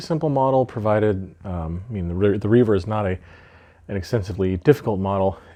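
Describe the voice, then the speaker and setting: Mumbling in a fairly low voice, a man speaks over a quiet background. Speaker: miniature painting hobbyist. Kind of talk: video intro to camera. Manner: rambling, mumbles a lot. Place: home room. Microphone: webcam.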